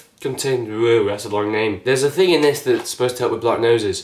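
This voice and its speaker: This man's voice sits at a medium pitch. Behind him, background noise is clearly noticeable. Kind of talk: casual talk to camera.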